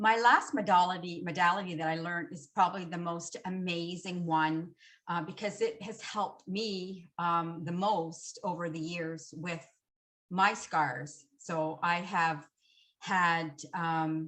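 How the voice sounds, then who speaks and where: Fairly slow speech in a Canadian accent with fairly even intonation and big swings in loudness. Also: woman, fairly low pitch for a woman. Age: 60s. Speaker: hypnotherapist. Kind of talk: panel discussion. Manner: halting.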